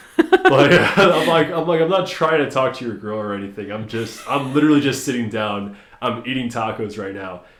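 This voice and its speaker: Amid noticeable background noise and audible room echo, a man in a medium pitch speaks at a fairly quick pace with an animated tone, lively intonation and big swings in loudness. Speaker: podcast host. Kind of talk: casual chat.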